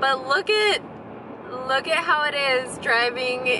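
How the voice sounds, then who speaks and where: Speaking at a fairly slow pace with ordinary pitch variation, a woman sounds dry with no echo, though background noise is noticeable. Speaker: vlogger. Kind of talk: casual vlog chat. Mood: amused, slightly anxious. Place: car. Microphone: phone near.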